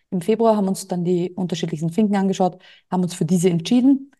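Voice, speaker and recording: Very fast speech from a woman at medium pitch, somewhat breathy, with a dark, mellow tone, fairly even intonation and a quiet background. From Austria. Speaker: entrepreneur and business coach. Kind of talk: interview.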